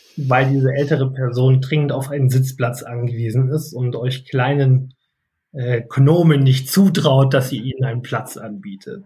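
With a dark, mellow tone that is somewhat breathy, a man talks at a moderate pace and medium pitch, his intonation fairly even. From North Rhine-Westphalia, Germany. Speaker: etiquette academy head and business etiquette trainer. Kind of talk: casual interview chat.

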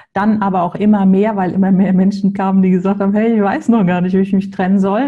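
A woman talks at a medium pitch in a somewhat breathy voice. Her tone is dark and mellow. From Hamburg, northern Germany. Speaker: separation coach. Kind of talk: podcast interview.

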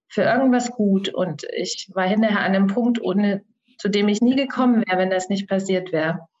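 At a moderate pace, a woman with an unremarkable speaking voice talks at medium pitch with fairly even intonation. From Germany, Thuringia. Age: 40s. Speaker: soul guide and coach. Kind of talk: podcast interview.

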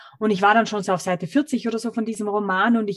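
A woman's somewhat breathy voice sits at a medium pitch with ordinary pitch variation. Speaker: author and digital detox expert. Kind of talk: interview. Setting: video call. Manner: lyrical, expressive.

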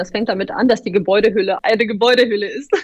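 A woman's fairly high voice at a very fast pace. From northern Germany (Bremen). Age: 30s. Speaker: data center industry executive. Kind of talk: interview.

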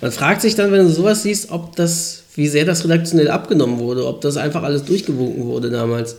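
Fairly quick speech from a man with a fairly high pitch, plus audible room echo. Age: 30s. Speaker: podcast host. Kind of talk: casual chat. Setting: home recording in high-ceilinged old flat. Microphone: poor mic, room echo.

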